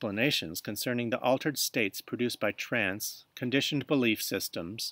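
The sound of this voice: Ordinary pitch variation runs through an unforced reading voice.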